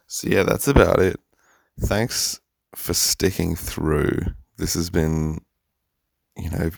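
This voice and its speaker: This male voice sits very deep and low. A silent background makes for a very clean recording. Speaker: podcast host. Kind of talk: solo podcast monologue, personal video diary style. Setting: home, recording at home in the morning. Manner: halting, hesitant, self-correcting; candid, confessional.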